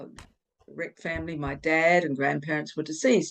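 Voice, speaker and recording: A woman with a New Zealand accent and a fairly low pitch. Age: 70s. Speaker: book co-author. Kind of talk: personal testimony in interview. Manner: halting.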